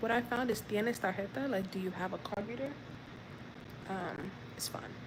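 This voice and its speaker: Soft-spoken and with an American accent, a woman talks at a moderate pace amid noticeable background noise and audible room echo. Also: medium pitch for a woman, ordinary pitch variation. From United States. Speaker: vlogger learning Spanish. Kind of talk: live stream language practice. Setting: outdoors. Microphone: too quiet.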